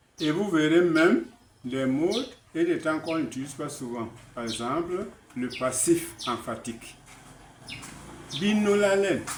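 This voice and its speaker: A man with a Cameroonian accent, fairly high pitch and lively intonation, at a fairly slow pace with long, frequent pauses and audible room echo. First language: Basaa (speaking French). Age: 80s+. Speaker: author. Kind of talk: interview.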